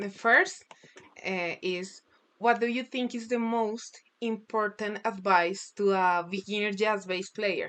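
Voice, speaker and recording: With a Spanish accent, a woman speaks very slowly at a medium pitch and with fairly even intonation. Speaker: music student. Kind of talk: interview. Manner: halting.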